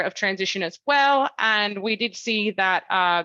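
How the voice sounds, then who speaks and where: A woman speaks in a bright, sharp tone with ordinary pitch variation. The sound is dry and close with no echo, over a quiet background. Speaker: climate science researcher. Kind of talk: academic talk. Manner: fast; many filler ums.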